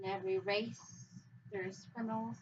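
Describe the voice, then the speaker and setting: A woman speaks at a moderate pace with a Spanish accent. Her pitch sits in the middle range and her intonation is lively. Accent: Spanish-accented English, noticeable. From Mexico. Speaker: immigrant interviewee. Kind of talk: interview.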